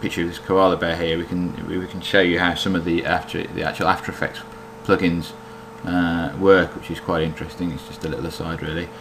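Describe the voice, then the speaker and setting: Over noticeable background noise, a man with a British accent talks at a fairly quick pace, his very deep, low voice keeping a fairly even intonation. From Britain. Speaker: software developer demoing own plugin. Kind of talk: tutorial. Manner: hesitant, many fillers.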